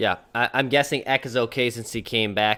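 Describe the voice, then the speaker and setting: A man with a Minnesotan accent and a bright, sharp tone, on a very clean recording with a silent background. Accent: Minnesota. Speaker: sports podcast co-host. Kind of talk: casual sports talk.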